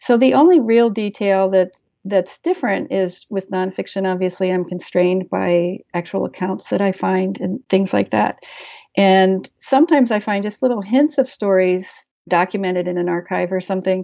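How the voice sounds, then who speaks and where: At a moderate pace, a plain, everyday voice with an American accent shows ordinary pitch variation. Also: woman, medium pitch for a woman. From Maryland. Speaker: author and historian. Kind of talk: interview.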